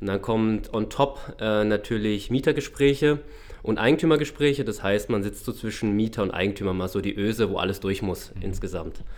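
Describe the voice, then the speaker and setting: In an unremarkable speaking voice, a man talks at a fairly low pitch and a moderate pace with ordinary pitch variation. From Baden, southwest Germany (Freiburg). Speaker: shopping center manager. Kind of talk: podcast interview. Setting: studio.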